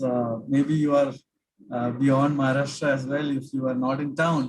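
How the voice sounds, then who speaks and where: A man with a South Indian accent speaks in a somewhat breathy, fairly high voice. His pace is fairly slow and his intonation is monotone and flat. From South India, Cochin (Kerala). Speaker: finance expert, workshop speaker. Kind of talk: online lecture. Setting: video call. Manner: halting, many fillers.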